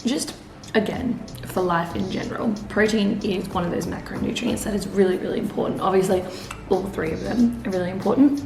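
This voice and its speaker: Whispering from a woman with an Australian accent at a fairly quick pace, amid audible room echo and music in the background. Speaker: vlogger. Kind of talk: casual vlog talk. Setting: at home. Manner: casual.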